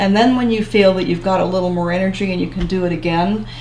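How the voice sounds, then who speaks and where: A woman is heard with audible room echo. Noticeable background noise runs under her voice. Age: 70s. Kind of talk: interview.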